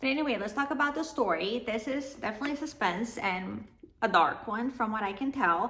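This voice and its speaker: Speaking at a fairly quick pace with a non-native accent, a woman with a fairly high pitch uses lively intonation. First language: not English. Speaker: book vlogger. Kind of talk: casual book review vlog.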